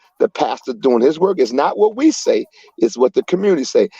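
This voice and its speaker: A man with an American accent talks at a fairly quick pace in a dark, mellow tone. His intonation is lively, and the sound is dry and close with no echo. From Chicago. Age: 60s. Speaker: community activist. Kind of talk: panel discussion. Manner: animated.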